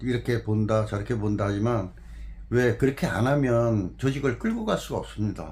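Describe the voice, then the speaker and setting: The man's somewhat breathy voice proceeds at a fairly slow pace. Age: 60s. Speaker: former jockey and horse trainer. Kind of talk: interview.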